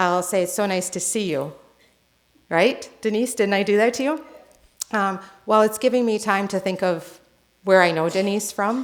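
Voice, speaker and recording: Using a US East Coast accent, a woman of medium pitch speaks at a moderate pace with ordinary pitch variation and long, frequent pauses. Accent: US East Coast, non-rhotic. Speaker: nurse and healthcare consultant. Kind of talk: conference presentation.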